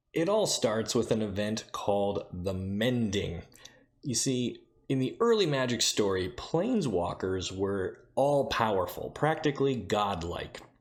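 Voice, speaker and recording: Soft-spoken and fairly slow, a man with a fairly low pitch uses lively intonation in a very clean recording with a silent background. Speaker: YouTube lore channel host. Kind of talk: casual lore explainer. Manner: soft-spoken, keeping voice down.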